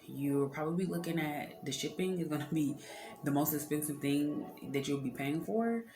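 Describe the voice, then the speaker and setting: A woman with a very deep, low voice speaks at a moderate pace with lively intonation. Music plays in the background, and room echo is audible. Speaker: beauty entrepreneur and vlogger. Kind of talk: tutorial. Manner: casual, with many filler words.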